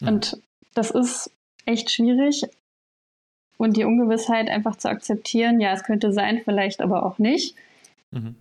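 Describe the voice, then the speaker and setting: A woman at a fairly high pitch and fairly slow pace, with ordinary pitch variation and long, frequent pauses. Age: 20s. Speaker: person with OCD sharing her story. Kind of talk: interview testimony. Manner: hesitant, many fillers.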